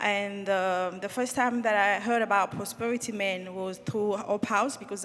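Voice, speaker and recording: Music plays behind a woman speaking at medium pitch and a moderate pace. Her intonation is fairly even, and she hardly pauses. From Republic of Congo. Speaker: scholarship recipient. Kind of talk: panel testimony.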